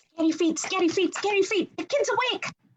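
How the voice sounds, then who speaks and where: A put-on character voice squeaks along at an extremely high pitch. The pace is fairly quick. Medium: read story. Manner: energetic, chatty.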